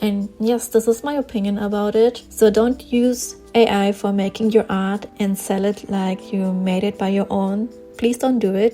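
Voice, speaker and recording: Over music in the background, a woman with a German accent speaks at a moderate pace in a medium pitch with monotone, flat intonation. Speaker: artist and small online shop owner. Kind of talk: casual vlog commentary while drawing.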